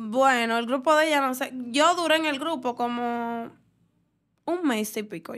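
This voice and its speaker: A high-pitched woman at a fairly slow pace, big swings in loudness and ordinary pitch variation, over a quiet background. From Dominican Republic. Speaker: dancer; podcast guest. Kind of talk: casual interview. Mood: relaxed, chatty. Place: studio. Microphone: studio mic.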